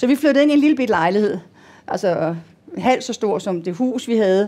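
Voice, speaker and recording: A woman's dark, mellow tone at a fairly high pitch, with lively intonation and a moderate pace. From Denmark. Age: 60s. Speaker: patient. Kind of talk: panel interview. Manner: halting.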